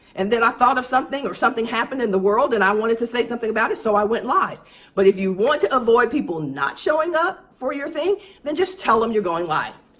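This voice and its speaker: Over noticeable background noise, a woman at a medium pitch talks very fast in an animated tone with very wide pitch swings. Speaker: business coach for speakers and consultants. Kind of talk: livestream tutorial.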